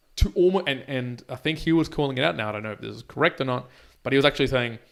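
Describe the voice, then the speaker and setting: A man speaks at a very fast pace with a medium pitch. The recording is very clean, with a silent background. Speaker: podcast co-host. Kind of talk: casual chat. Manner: repetitive false starts.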